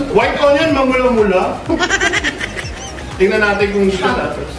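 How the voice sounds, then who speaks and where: Upbeat and playful, a man with a high pitch speaks with lively intonation over noticeable background noise. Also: fairly quick pace. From Philippines. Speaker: comedian vlogger. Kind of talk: casual comedic cooking show talk. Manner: upbeat, loud, playful.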